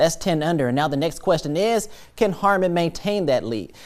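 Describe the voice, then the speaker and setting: A man talks at a high pitch and fairly quick pace, with ordinary pitch variation, in an upbeat, playful tone. The recording is very clean, with a silent background. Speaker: sports anchor. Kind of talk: sports highlights commentary.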